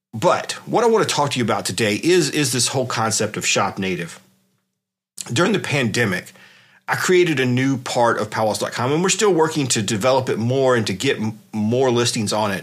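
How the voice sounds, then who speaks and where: This man has a normal speaking voice at a medium pitch. His intonation is lively and his pace fairly quick. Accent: American. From South Carolina, US South. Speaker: podcast host. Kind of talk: casual solo podcast talk. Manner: frequent fillers and restarts.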